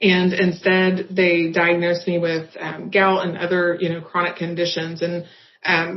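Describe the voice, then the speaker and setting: This woman talks at a moderate pace in a fairly low voice. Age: 30s. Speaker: patient. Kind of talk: testimony.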